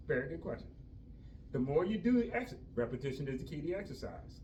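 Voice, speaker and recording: Amid noticeable background noise and audible room echo, a man speaks at a very fast pace with very wide pitch swings. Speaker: fitness instructor for seniors. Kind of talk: exercise class instruction. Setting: group class at senior village.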